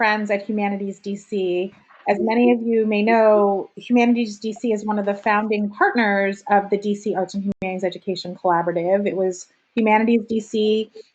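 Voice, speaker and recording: With a New Jersey accent, a woman talks at a moderate pace and a fairly high pitch, with ordinary pitch variation. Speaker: meeting facilitator for arts education nonprofit. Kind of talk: online meeting opening remarks.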